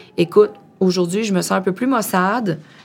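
A woman's fairly low voice, an ordinary speaking voice, with ordinary pitch variation at a moderate pace. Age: 30s. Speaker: project manager in excavation. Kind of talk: casual interview conversation.

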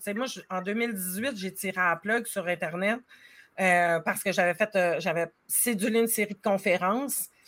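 A woman with a medium pitch and a bright, sharp tone, ordinary pitch variation and big swings in loudness at a moderate pace, on a very clean recording with a silent background. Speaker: life coach. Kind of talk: casual chat.

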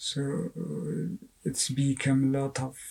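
A man in an Afghan accent, very slow, with a dark, mellow tone. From Afghanistan. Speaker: writer and artist. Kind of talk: interview. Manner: halting.

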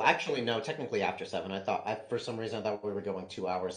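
The clip is plain reading aloud. Its words are read out plainly.

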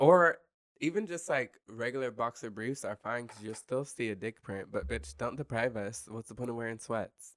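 An unremarkable speaking voice with an American accent, lively intonation and big swings in loudness, at a moderate pace, in a dry, close sound with no echo. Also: man, medium pitch for a man. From southern Kansas. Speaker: comedian. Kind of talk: casual chat. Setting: studio.

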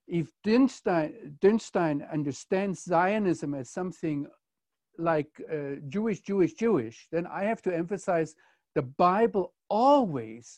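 A man with a German accent, high pitch, lively intonation and a fairly slow pace, in a dry, close sound with no echo against a quiet background. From Germany. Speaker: commentator on Israel. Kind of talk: conversational discussion.

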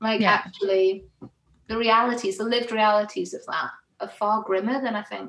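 Using an ordinary speaking voice, a woman talks at a moderate pace with fairly even intonation and a fairly high pitch. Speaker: theatre and arts worker. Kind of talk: casual chat.

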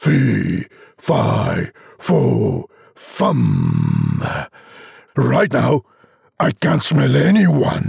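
A man puts on a raspy character voice, pitched fairly high for a man. He talks at a very slow pace with long, frequent pauses. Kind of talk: comic overacting. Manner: grumpy, muttering.

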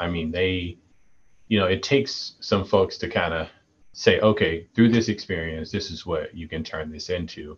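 A man's very deep, low, somewhat breathy voice with an American accent, at a moderate pace, with ordinary pitch variation and big swings in loudness. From US South, Mississippi. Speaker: college basketball head coach. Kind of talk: interview. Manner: halting.

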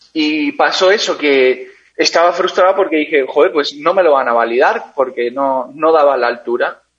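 Using a plain, everyday voice, a man talks at a fairly high pitch and a moderate pace, with ordinary pitch variation, very even loudness and hardly any pauses. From Spain, Basque Country (San Sebastián). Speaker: endurance cyclist. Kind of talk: interview.

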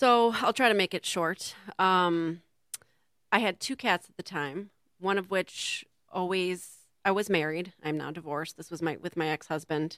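In a dry, close, very clean recording with a silent background, a woman with an unremarkable speaking voice talks at a moderate pace and a fairly low pitch, with ordinary pitch variation. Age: 40s. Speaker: raw food chef and teacher. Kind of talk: casual interview chat. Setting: community TV studio.

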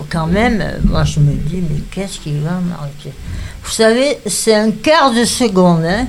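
Over noticeable background noise, a woman at a medium pitch speaks very slowly with lively intonation. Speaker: retirement home resident. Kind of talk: personal testimony.

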